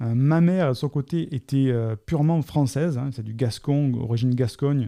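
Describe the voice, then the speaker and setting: Against a quiet background, the voice is dark and mellow in tone, moving at a fairly slow pace with ordinary pitch variation. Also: man. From southern France, Côte d'Azur. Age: 40s. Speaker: coach. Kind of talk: Q&A monologue. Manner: halting.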